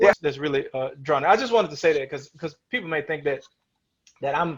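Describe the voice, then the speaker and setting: A man talks at a fairly quick pace, sounding somewhat breathy. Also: fairly high pitch for a man, ordinary pitch variation. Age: 40s. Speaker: election commissioner. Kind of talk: casual interview conversation. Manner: halting, many fillers.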